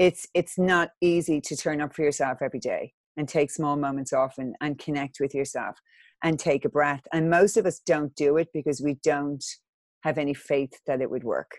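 A woman with an Irish accent and a very deep, low pitch, at a moderate pace, in a very clean recording with a silent background and a dry, close sound with no echo. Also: fairly even intonation. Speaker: wellness author and coach. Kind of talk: interview.

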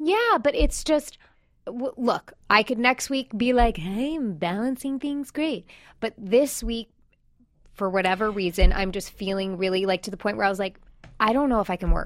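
A woman speaks at a moderate pace in a plain, everyday voice with an American accent, her pitch fairly high and her intonation lively. The recording is very clean, with a silent background. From New York. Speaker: podcast co-host. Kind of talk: casual chat and interview.

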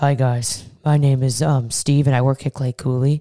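A woman uses a put-on character voice with a very deep, low pitch at a moderate pace.

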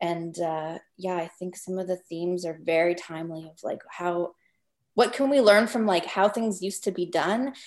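A woman with a Canadian accent and a normal speaking voice talks at a moderate pace and a fairly low pitch, with ordinary pitch variation and big swings in loudness. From Northwest Territories, Canada. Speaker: documentary filmmaker. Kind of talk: interview.

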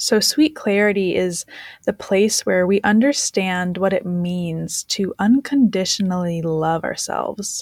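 A woman with an unremarkable speaking voice talks at a fairly slow pace in a medium pitch. Her pitch varies in an ordinary way, and the sound is dry and close with no echo. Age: 20s. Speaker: life coach. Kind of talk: podcast monologue.

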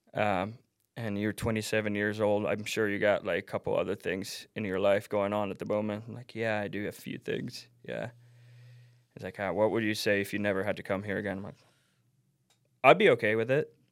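On a very clean recording with a silent background, a man with a fairly low pitch speaks at a moderate pace in a monotone, flat intonation, with big swings in loudness. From Finland. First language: Finnish. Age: 30s. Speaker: snowboarder and team manager. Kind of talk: casual chat.

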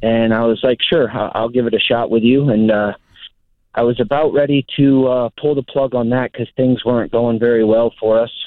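A man with an American accent talks at a moderate pace, medium in pitch, with fairly even intonation. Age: 30s. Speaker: caller, former diesel mechanic. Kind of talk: phone call-in question. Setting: phone call. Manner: halting, many fillers.

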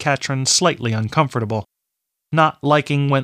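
Over a quiet background, a natural reading voice comes through with ordinary pitch variation.

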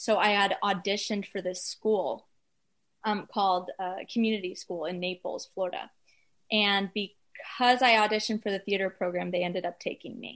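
With an American accent and a normal speaking voice, a woman talks at a moderate pace and medium pitch, her intonation fairly even against a quiet background. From US South, Atlanta, Georgia. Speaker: musician. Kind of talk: casual interview chat.

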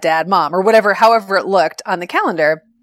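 Against music in the background, a woman with a fairly low pitch speaks with fairly even intonation in a dry, close sound with no echo. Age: 40s. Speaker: blogger. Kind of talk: casual interview.

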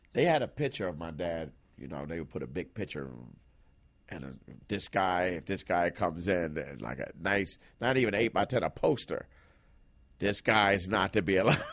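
Very deep and low, a man's voice shows vocal fry, lively intonation and big swings in loudness. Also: moderate pace. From Philadelphia. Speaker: stand-up comedian. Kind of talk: casual interview chat.

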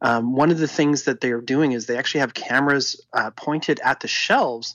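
Pitch varies in an ordinary way in what is an ordinary speaking voice. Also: man. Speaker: tech commentator. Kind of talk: casual chat.

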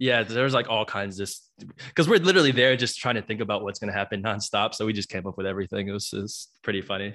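A man with a fairly low pitch talks at a very fast pace, his pitch varying in an ordinary way. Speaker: reality TV contestant guest. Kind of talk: interview.

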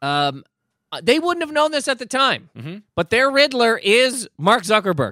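A raised, projected voice with a bright, sharp tone and very wide pitch swings moves at a moderate pace in a dry, close, very clean recording with a silent background and no echo. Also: man, extremely high pitch for a man. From Nova Scotia, Canada. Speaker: comedian. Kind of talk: casual chat.

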